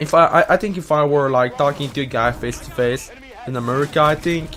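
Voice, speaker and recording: Over noticeable background noise, a man speaks at a fairly quick pace in a fairly high pitch. His pitch varies in an ordinary way while his loudness swings widely. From Quebec. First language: French. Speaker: gaming YouTuber answering Reddit questions. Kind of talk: casual monologue to camera. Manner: halting, many fillers and restarts.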